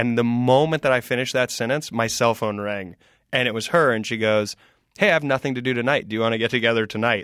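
In an American accent, a man talks at a very fast pace and medium pitch with ordinary pitch variation, on a very clean recording with a silent background. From US South (South Carolina). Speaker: comedian. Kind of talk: casual chat.

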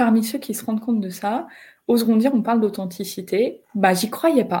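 Somewhat breathy, the woman's fairly high voice carries a dark, mellow tone. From northern France, Picardy. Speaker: HR entrepreneur and speaker. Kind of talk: live video interview. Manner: halting, repeats words.

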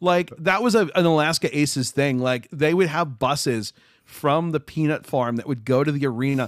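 This man has a plain, everyday voice with an American accent and a fairly high pitch. He keeps a moderate pace with ordinary pitch variation. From US Midwest, Chicago. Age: 30s. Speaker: YouTuber and accessible gaming advocate. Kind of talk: casual chat.

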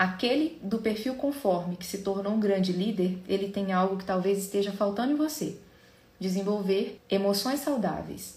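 Through audible room echo, a woman talks at a moderate pace and medium pitch, somewhat breathy, with ordinary pitch variation. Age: 30s. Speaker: podcast host, psychologist. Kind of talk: solo educational talk.

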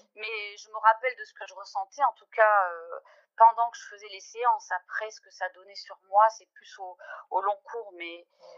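A woman talks fairly slowly, her voice fairly high and her intonation fairly even. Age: 40s. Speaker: pianist and mother giving a testimony. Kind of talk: testimony. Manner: halting, many hesitations and repetitions.

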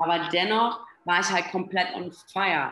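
An unremarkable speaking voice from a woman, fairly low in pitch. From Berlin, Germany. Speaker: health and performance coach. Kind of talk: podcast interview.

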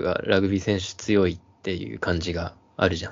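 Here a man talks at a moderate pace in an ordinary speaking voice. His pitch sits fairly low. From Hokkaido, Japan. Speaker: podcast co-host. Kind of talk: casual chat.

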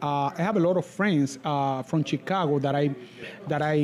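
A man with a Spanish accent, speaking at a fairly quick pace. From Cuba, Camagüey. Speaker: musician. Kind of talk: casual interview. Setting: live event in cigar lounge.

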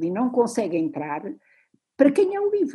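A woman with a fairly high pitch, a dark, mellow tone and vocal fry speaks with very wide pitch swings. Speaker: literature professor. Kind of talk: lecture. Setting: video call.

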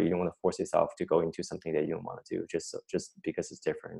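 Over a quiet background, a man speaks with a Chinese accent. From China. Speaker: chemistry professor. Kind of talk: interview. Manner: halting.

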